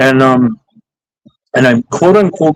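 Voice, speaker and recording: A man's voice with very wide pitch swings. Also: dry, close sound with no echo. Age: 40s. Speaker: photographer. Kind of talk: casual chat. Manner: halting, many fillers and restarts.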